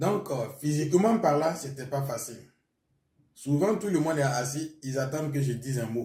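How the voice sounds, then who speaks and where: A man speaks at a moderate pace with a fairly high pitch and ordinary pitch variation. His tone is dark and mellow, and somewhat breathy. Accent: Burkinabè. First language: Mooré (speaking French). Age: young. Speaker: pastor. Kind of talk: testimony.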